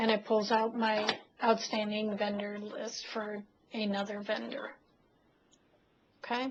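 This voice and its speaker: Against noticeable background noise, a woman with a fairly high pitch talks at a fairly slow pace in a monotone, flat intonation with long, frequent pauses. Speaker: software trainer. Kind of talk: webinar tutorial.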